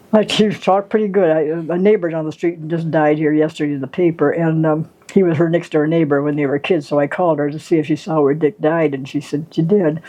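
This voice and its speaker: A woman with a very deep, low pitch talks at a very fast pace with hardly any pauses. Her intonation stays fairly even. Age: 90s. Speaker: grandmother. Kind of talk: casual chat.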